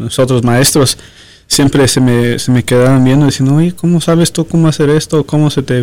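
Medium in pitch with ordinary pitch variation, a man speaks at a moderate pace. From Los Angeles area, Mexican-American. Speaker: doctor. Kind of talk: interview. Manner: halting, many repetitions.

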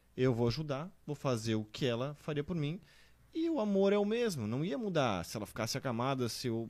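Delivered at a moderate pace with very wide pitch swings, the speech sits in a very clean recording with a silent background. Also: man, fairly high pitch for a man. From southern Brazil, Santa Catarina (Blumenau). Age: 30s. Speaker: guest, husband of the testimony giver. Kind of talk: testimony.

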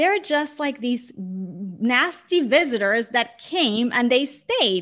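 Speaking at a very slow pace, a woman with a high pitch uses very wide pitch swings on a very clean recording with a silent background. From Puerto Rico (San Juan). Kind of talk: interview conversation.

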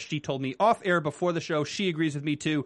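A man speaks with fairly high pitch. He has an ordinary speaking voice. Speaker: TV after-show co-host. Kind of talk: casual chat. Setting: studio.

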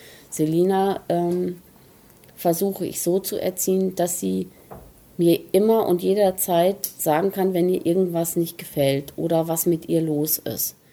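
Fairly low in pitch, a woman speaks at a fairly slow pace. Her intonation is monotone and flat. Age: 50s. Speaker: interviewee, mother at a spa stay. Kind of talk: interview.

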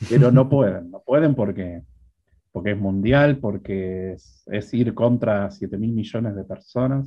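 A man speaks fairly slowly in an unremarkable speaking voice, fairly low in pitch, with ordinary pitch variation and big swings in loudness. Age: 50s. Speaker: programming instructor. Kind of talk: interview.

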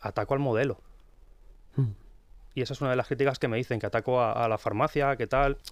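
Very fast yet with long, frequent pauses, a man speaks at a medium pitch with fairly even intonation. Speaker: pharmacist and book author. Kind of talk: radio interview. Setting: radio studio.

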